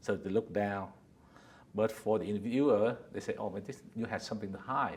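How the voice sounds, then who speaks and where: A man with a Vietnamese accent speaks at a fairly quick pace. His pitch is fairly low and his intonation fairly even. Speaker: company founder and executive. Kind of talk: interview. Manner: halting.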